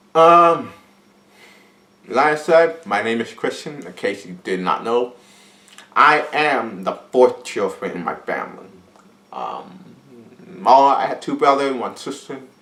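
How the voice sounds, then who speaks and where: This man speaks at a fairly slow pace with an American accent, using very wide pitch swings, big swings in loudness and long, frequent pauses. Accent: deaf speech. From Pittsburgh, Pennsylvania, US. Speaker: vlogger, film student. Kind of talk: casual vlog monologue. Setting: at home in his apartment.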